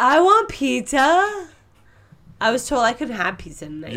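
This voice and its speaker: A woman's put-on character voice, high-pitched and whiny, with very wide pitch swings at a moderate pace. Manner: whiny, affected.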